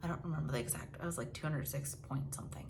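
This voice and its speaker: Speech comes at a very fast pace amid noticeable background noise and audible room echo. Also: woman. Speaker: lifestyle vlogger. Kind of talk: casual monthly update vlog. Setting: home, at night. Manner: quiet, lowered volume; casual, filler-heavy.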